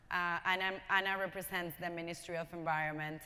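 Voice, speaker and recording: A bright, sharp tone with a Spanish accent and monotone, flat intonation. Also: woman. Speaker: panel moderator. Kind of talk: panel discussion introduction. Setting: large conference room with audience. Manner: hesitant, many fillers.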